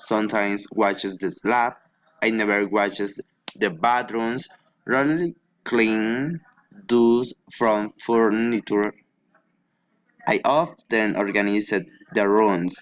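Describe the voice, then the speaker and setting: Speaking at a very slow pace with long, frequent pauses, a man with a Spanish accent uses a fairly low pitch. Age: 20s. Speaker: English language student. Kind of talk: reading aloud a prepared class assignment. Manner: halting.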